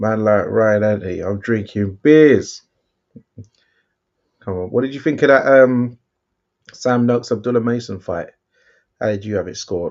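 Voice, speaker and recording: A man with a London accent speaks at a moderate pace with ordinary pitch variation and long, frequent pauses. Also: medium pitch for a man. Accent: English (London), remarked on by a viewer. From London, England. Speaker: boxing watchalong co-host. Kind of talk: casual live-stream chat. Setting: live stream watchalong.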